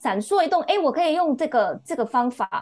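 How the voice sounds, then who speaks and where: This woman's voice moves through very wide pitch swings. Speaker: book club member. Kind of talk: casual chat. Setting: remote call. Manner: sharp.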